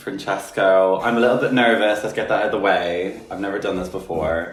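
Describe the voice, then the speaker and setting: Fairly quick speech from a man with a fairly low pitch and fairly even intonation, amid noticeable background noise and audible room echo. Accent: Irish. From Republic of Ireland. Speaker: podcast guest, artist. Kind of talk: casual chat.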